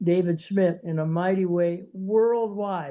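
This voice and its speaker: The man's voice sits high in pitch. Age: 80s+. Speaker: heart patient sharing testimony. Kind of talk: testimony. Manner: halting.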